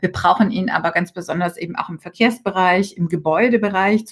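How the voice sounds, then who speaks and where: A somewhat breathy woman at a fairly quick pace, medium in pitch, with ordinary pitch variation. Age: 40s. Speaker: member of European Parliament. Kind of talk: interview.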